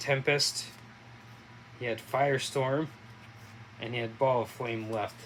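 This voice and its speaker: Against noticeable background noise, a man mumbles at a moderate pace and medium pitch in a flat monotone. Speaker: board game playthrough host. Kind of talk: casual tabletop game commentary. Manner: halting, many fillers; mumbling.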